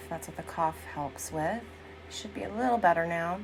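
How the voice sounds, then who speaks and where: Music plays in the background as a woman speaks at a moderate pace. Her pitch is fairly low and her intonation lively. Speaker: vocal coach. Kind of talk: casual vlog talk to camera.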